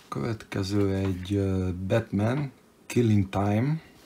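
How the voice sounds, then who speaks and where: A man talks at a fairly low pitch. His delivery is very slow and somewhat breathy. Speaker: comic book collector youtuber. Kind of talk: unboxing show-and-tell. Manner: casual, hesitant with fillers; brisk.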